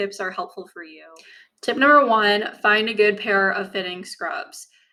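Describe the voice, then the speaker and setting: The tone is bright and sharp. The recording is very clean, with a silent background. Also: woman. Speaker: medical student. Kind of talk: casual talk to camera. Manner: slow at points.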